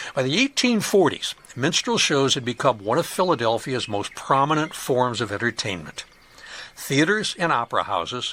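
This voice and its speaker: With an American accent and lively intonation, this voice comes through over noticeable background noise. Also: man. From US Midwest, Chicago suburbs. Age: 70s. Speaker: podcast host, local historian. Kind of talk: podcast narration.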